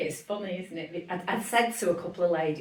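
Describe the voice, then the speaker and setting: A woman with a Lancashire accent speaks at a fairly quick pace, her fairly low voice somewhat breathy. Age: 60s. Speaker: businesswoman and cancer charity founder. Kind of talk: podcast interview. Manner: animated.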